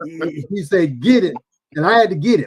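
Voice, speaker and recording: This man speaks with an American accent at a moderate pace. His pitch sits high for a man. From US South. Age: 70s. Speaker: community member recalling past. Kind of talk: podcast interview, reminiscing. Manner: animated.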